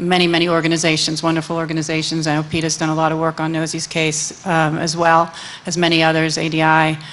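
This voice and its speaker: This woman talks at a fairly quick pace in a very deep, low voice. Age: 50s. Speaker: animal advocacy lawyer. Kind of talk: panel discussion. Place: hall. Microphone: podium.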